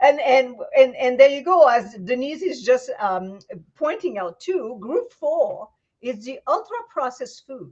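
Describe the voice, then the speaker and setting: A woman speaks in a Quebec accent at a high pitch and a fairly slow pace. Her pitch swings very widely and her loudness swings a lot. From Quebec, Canada. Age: 60s. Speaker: vegan raw food chef. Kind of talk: casual interview chat. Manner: animated.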